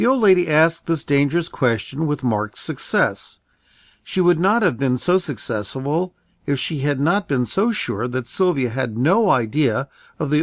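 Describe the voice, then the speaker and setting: Over a quiet background, a man with a plain, everyday voice talks at a fairly high pitch with lively intonation. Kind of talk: audiobook reading, literary narration. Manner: slow, soothing, measured narration; gentle storyteller, voicing characters with light expression.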